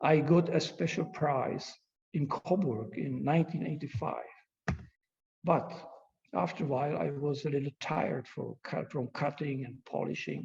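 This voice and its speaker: With vocal fry, a man with a fairly high pitch talks at a moderate pace and with ordinary pitch variation. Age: 70s. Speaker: glass artist. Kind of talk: lecture. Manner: halting.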